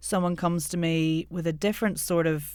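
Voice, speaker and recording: A woman's fairly low voice in an Irish accent, monotone and flat, at a fairly slow pace, in a very clean recording with a silent background. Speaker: accent coach and voiceover artist. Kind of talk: podcast interview.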